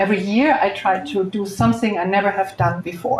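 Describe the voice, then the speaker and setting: At a fairly slow pace, a woman speaks at a medium pitch with ordinary pitch variation. Hers is an unremarkable speaking voice. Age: 60s. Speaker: real estate investor and speaker. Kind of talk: panel talk at live event.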